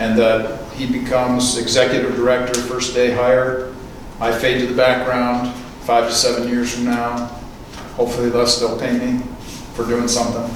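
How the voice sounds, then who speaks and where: In an American accent, a man speaks at a moderate pace and medium pitch with a monotone, flat intonation, amid audible room echo and noticeable background noise. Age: 60s. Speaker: speaker on faith and film, radio host. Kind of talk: lecture. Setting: church with live audience.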